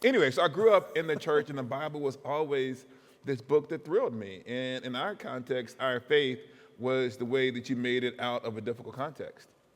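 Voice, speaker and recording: A man with an American accent speaks in an ordinary speaking voice at medium pitch, with ordinary pitch variation and a moderate pace. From US South, Huntsville, Alabama. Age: 40s. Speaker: professor. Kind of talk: interview.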